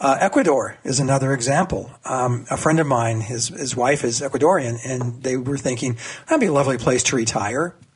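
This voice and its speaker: Over noticeable background noise, a man at medium pitch speaks at a fairly quick pace with hardly any pauses and ordinary pitch variation. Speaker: political cartoonist. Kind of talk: radio interview. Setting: phone call.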